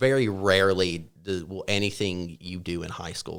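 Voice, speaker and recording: Speaking with an American accent, a man with a very deep, low pitch keeps his intonation fairly even. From North Carolina mountains (Alleghany County). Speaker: podcast guest. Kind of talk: casual conversation. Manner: halting, many fillers and restarts.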